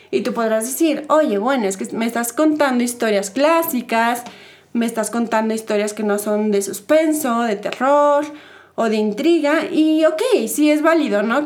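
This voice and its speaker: A woman with a high pitch talks at a moderate pace and with ordinary pitch variation, with audible room echo around her. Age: 20s. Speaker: podcast host. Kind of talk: casual chat.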